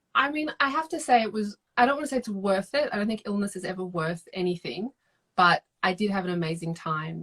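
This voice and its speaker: Lively intonation marks this woman's medium-pitched voice at a moderate pace, with a dry, close sound and no echo. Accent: Australian. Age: 30s. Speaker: novelist. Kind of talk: casual chat. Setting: video call.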